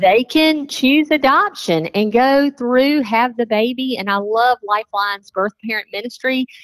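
Barely pausing, a woman with an American accent talks at a fairly slow pace in a high pitch with lively intonation, the sound dry and close with no echo. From South Carolina. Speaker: pregnancy counselor. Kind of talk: radio interview.

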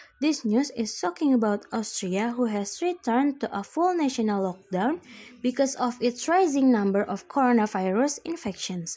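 With a dark, mellow tone and high pitch, a woman speaks at a moderate pace with lively intonation on a very clean recording with a silent background. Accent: Indonesian. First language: Indonesian. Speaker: student. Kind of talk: school assignment podcast, news summary.

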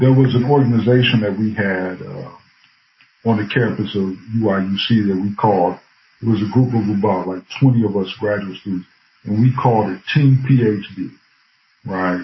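Somewhat breathy and with an American accent, the voice moves at a moderate pace with ordinary pitch variation and long, frequent pauses. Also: man, fairly low pitch for a man. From Bloomington, Illinois, US Midwest. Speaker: professor. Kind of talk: interview.

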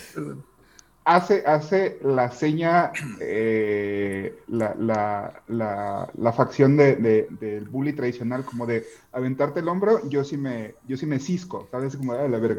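A man with a Mexican accent speaks very slowly at a medium pitch, his intonation lively. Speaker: podcast co-host. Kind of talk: casual chat.

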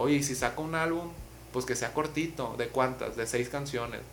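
Room echo is audible. The voice belongs to a man. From Mazatlán, Sinaloa, Mexico. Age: 20s. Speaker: urban music artist. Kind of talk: casual interview chat. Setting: in person at host's place.

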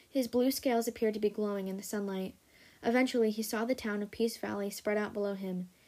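The speaker uses an unforced reading voice. It comes across as an unforced reading voice throughout.

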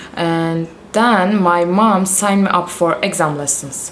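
Speech in a Turkish accent comes at a very slow pace with fairly even intonation. Audible room echo and noticeable background noise surround it. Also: woman. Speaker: professional volleyball player. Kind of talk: interview. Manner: halting, with fillers.

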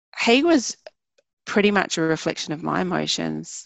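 A woman speaks with a New Zealand accent. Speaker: wellbeing practitioner. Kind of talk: interview. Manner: hesitant fillers.

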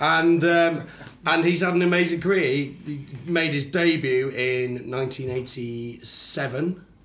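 Noticeable background noise surrounds a man speaking at a very slow pace. His pitch is fairly high, with ordinary pitch variation. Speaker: guest sharing football fact.

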